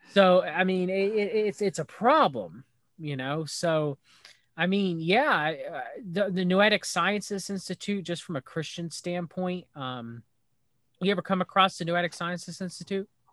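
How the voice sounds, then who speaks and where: A man speaks fairly slowly at a high pitch with an American accent. The recording is very clean, with a silent background. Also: ordinary pitch variation, dry, close sound with no echo. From US South, North Carolina. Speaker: YouTube researcher. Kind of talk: casual chat.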